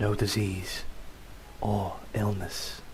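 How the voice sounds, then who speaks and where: A man whispers in a put-on character voice that is breathy and raspy, over clear background noise. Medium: read story. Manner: labored, whispery speech.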